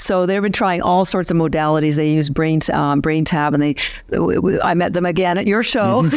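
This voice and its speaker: Speaking at a moderate pace with a fairly low pitch, a woman keeps her loudness very even and her pitch variation ordinary, while noticeable background noise runs underneath. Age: 60s. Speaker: company founder. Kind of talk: interview.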